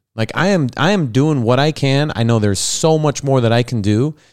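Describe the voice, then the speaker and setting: A man's fairly high, animated voice at a moderate pace. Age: 30s. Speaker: podcast host. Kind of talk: casual chat. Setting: video call.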